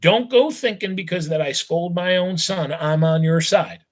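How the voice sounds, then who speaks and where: This man puts on a character voice pitched high for a man, with a hissing edge. He talks at a moderate pace. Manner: hissing, stern.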